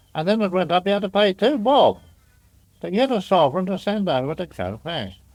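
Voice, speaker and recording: A man is speaking. His pace is fairly quick. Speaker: pearling master and storekeeper. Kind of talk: oral history interview answer. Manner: sober yet humorous.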